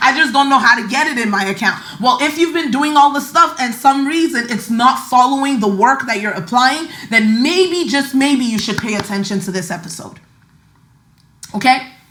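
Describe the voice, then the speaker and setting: Animated tone and lively intonation at a moderate pace, with audible room echo and noticeable background noise. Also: woman, high pitch for a woman. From Nigeria. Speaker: podcast host, money mindset coach. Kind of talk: casual podcast monologue.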